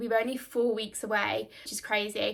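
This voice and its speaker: On a very clean recording with a silent background, a woman talks at a fairly quick pace with a fairly high pitch. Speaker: vlogger and nail technician. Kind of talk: vlog, casual talk to camera. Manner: fast; many filler words.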